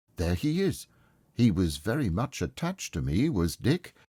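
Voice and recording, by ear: A natural voice reading aloud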